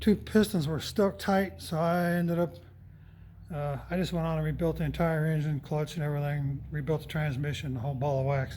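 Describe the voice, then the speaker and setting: A man talks at a fairly quick pace with a fairly high pitch and ordinary pitch variation. His tone is dark and mellow, and somewhat breathy. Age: 60s. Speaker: tractor collector and mechanic. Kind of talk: casual tutorial walkthrough. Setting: shop.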